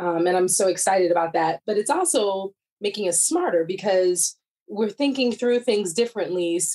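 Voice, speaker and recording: A woman with an American accent speaks at a fairly quick pace in a normal speaking voice. Her pitch is medium, with ordinary variation. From US Midwest, Chicago area. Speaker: corporate diversity executive. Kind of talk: interview.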